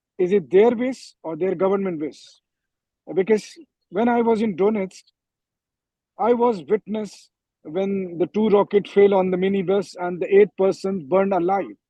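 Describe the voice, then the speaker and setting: Moderate pace and high pitch from a man, with ordinary pitch variation and long, frequent pauses. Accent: Indian. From India. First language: Hindi. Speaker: war correspondent. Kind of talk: panel discussion. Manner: halting, many fillers.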